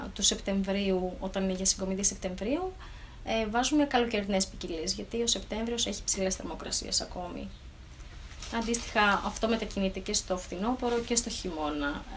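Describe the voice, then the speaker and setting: Background noise is noticeable throughout. The delivery keeps a moderate pace, and the pitch varies in an ordinary way. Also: woman, medium pitch for a woman. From Thessaloniki area, northern Greece. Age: 30s. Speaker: vegetable farmer and agronomist. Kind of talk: interview. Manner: hesitant, with fillers.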